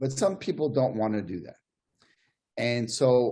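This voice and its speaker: A man's somewhat breathy voice with a dark, mellow tone at a fairly slow pace. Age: 60s. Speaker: podiatrist. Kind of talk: panel discussion.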